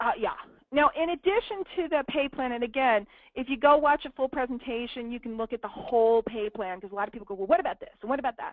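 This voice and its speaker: In a New York accent, a woman talks very fast at a high pitch, animated in tone and lively in intonation, with big swings in loudness. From Brooklyn, New York. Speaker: network marketing presenter. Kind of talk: business presentation.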